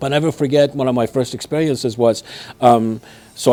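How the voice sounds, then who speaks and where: Noticeable background noise sits under a man talking at a very fast pace. He has a medium pitch, ordinary pitch variation and a slight Persian accent. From Iran, Tehran. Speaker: martial arts businessman. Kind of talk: interview storytelling. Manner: halting, with many fillers.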